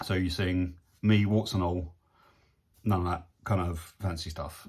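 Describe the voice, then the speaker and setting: On a very clean recording with a silent background, a man with an English accent speaks in a very deep, low pitch, somewhat breathy and with fairly even intonation. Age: 60s. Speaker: photographer and video vlogger. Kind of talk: casual video diary. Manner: hesitant, many fillers.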